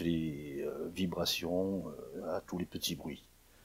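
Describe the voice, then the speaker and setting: A man is speaking. His pitch is very deep and low, with ordinary pitch variation. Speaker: audio recording tutorial maker. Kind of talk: tutorial. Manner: hesitant, many filler sounds. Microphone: recorder mic on stand close to mouth.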